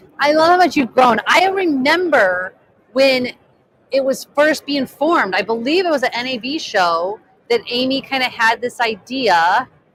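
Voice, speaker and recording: Loud and excited, a woman talks at a moderate pace in a high pitch with very wide pitch swings. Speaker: live stream host, film director and coach. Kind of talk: live interview at trade show. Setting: trade show floor booth. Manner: loud, excited; trying to speak quietly.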